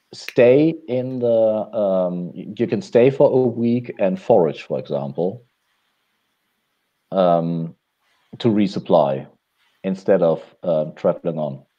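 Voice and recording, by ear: A man's low, dark and mellow voice at a slow pace, with ordinary pitch variation.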